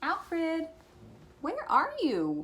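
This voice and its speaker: This is a put-on character voice that sounds squeaky. The pitch is extremely high. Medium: read story.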